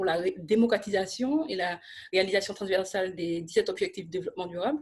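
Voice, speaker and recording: The woman's voice is somewhat breathy, with ordinary pitch variation, set against a quiet background. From Martinique. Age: 30s. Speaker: social entrepreneur and lobbyist. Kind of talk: interview.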